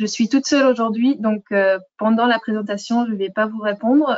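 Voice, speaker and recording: Her fairly high pitch comes with ordinary pitch variation in this woman's voice. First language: not French (speaking French). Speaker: software product manager. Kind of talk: webinar presentation. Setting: online webinar. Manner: hesitant, many fillers.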